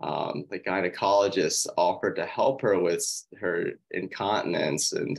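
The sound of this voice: The background is quiet. An unforced reading voice carries the words.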